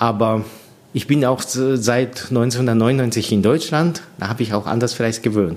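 A man with a Japanese accent at a very slow pace. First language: Japanese (speaking German). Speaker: orchestra conductor. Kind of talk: interview. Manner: halting, with many fillers.

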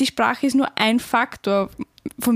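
A woman speaks with an Austrian accent. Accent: Austrian dialect, some. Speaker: podcast co-host, university student. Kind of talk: casual chat.

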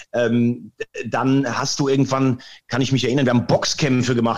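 A man at a medium pitch. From Rhineland-Palatinate, near Andernach. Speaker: sports presenter. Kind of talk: interview. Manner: animated.

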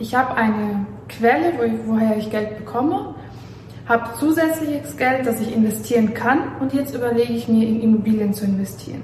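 A woman's fairly quick speech with ordinary pitch variation, audible room echo and noticeable background noise. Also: fairly high pitch for a woman. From Belarus. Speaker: real estate agent and company founder. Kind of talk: informational talk, video audio. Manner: hesitant with fillers.

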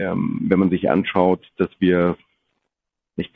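This voice belongs to a man. It sits very deep and low. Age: 40s. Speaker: business executive. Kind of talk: interview.

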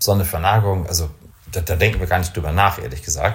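Somewhat breathy, a man speaks with ordinary pitch variation. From northern Germany, Kiel (Baltic coast). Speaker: company executive in the space industry. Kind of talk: interview. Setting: office.

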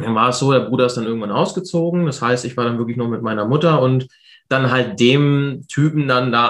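Delivery is very fast, and the intonation stays fairly even. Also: man. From Hannover, northern Germany. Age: 20s. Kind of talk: interview. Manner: casual.

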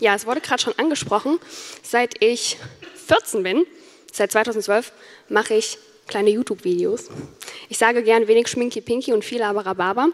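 Speaking at a moderate pace with ordinary pitch variation and long, frequent pauses, the voice sounds dry and close with no echo, though noticeable background noise is present. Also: woman, fairly high pitch for a woman. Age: 20s. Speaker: YouTuber and student. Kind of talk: conference talk.

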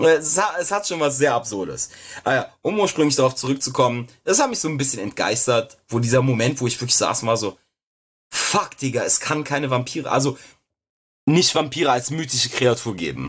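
A man's medium-pitched, somewhat breathy voice with lively intonation at a fairly quick pace, over a quiet background. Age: 20s. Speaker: podcast co-host. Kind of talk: casual chat.

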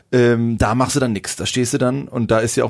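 Moving at a fairly quick pace, a man with an ordinary speaking voice talks at a medium pitch. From northern Germany, near Hamburg. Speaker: rock musician. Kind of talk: casual interview.

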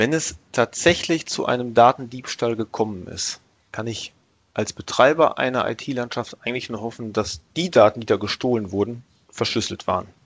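A man with an ordinary speaking voice, medium pitch, moderate pace and ordinary pitch variation. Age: 30s. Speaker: IT team leader. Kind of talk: expert interview on IT security.

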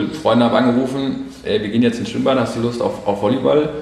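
There is noticeable background noise and audible room echo. A man talks at a medium pitch. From Hessen, Germany. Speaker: photographer and videographer. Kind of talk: casual chat. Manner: halting.

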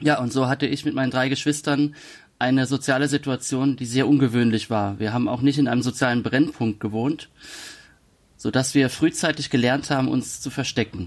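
A man uses a normal speaking voice at a medium pitch. His pace is fairly quick and his intonation fairly even. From Palatinate, Germany. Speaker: author. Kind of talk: interview. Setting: video call.

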